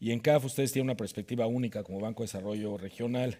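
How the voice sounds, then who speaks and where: Speaking at a very fast pace in a Mexican accent, a man with a medium pitch comes through on a very clean recording with a silent background. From Mexico. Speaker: panel moderator. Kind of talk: panel discussion.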